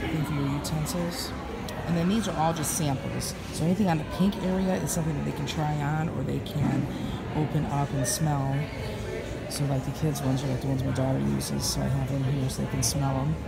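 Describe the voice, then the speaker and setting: A woman speaks at a fairly quick pace. Loud background noise is present. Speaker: direct sales representative. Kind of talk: casual talk to camera. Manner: whispered. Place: hall. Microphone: phone near.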